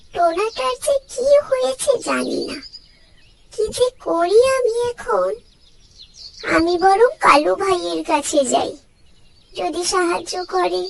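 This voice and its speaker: A cartoonish character voice, pitched extremely high, talks at a fairly slow pace. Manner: polite, earnest.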